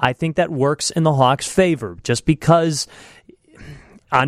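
A man with a normal speaking voice talks at a moderate pace with ordinary pitch variation, in a dry, close sound with no echo. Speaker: radio reporter and co-host.

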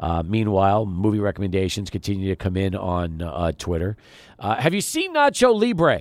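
A man's ordinary speaking voice, fairly low in pitch, moderate pace, ordinary pitch variation, very clean recording with a silent background. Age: 40s. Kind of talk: casual chat. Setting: studio.

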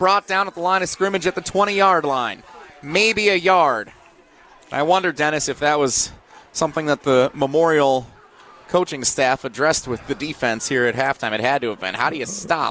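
Here a man speaks in a plain, everyday voice. It sits fairly high and has lively intonation. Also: moderate pace. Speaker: high school football play-by-play announcer. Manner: conversational and explanatory between plays, setting up situations.

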